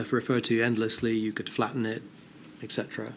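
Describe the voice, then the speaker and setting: The speaker is a man. He has a British accent. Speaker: inquiry witness, behavioural science adviser. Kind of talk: formal inquiry testimony. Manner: fast.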